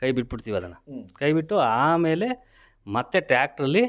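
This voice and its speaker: A man speaks in an unremarkable speaking voice with lively intonation. The recording is very clean, with a silent background. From Karnataka, Hassan district (Arakalagudu taluk). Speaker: farmer. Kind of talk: radio interview.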